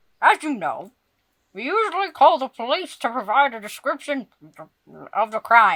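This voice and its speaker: In a put-on character voice pitched high, the speaker leaves long, frequent pauses. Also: moderate pace. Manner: talking with mouth full.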